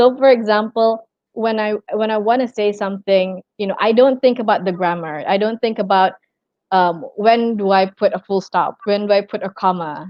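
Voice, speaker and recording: Woman at a medium pitch and a moderate pace. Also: fairly even intonation. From Brunei. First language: Malay. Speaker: tourism and hospitality worker. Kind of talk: interview.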